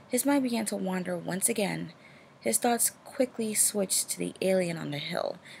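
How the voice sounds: A natural reading voice carries the recording.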